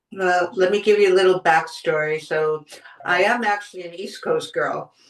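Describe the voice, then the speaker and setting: A woman with a plain, everyday voice speaks in an American accent at a medium pitch and a moderate pace. Her intonation stays fairly even while her loudness swings widely. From US Northeast, Boston suburbs. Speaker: podcast host and wellness writer. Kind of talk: interview conversation.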